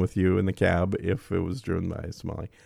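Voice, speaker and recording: At a very fast pace, a man with a Minnesota accent speaks in a dark, mellow tone. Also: very clean recording, silent background. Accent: Minnesota Midwestern. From Minnesota, Twin Cities suburbs. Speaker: podcast host. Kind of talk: casual interview chat.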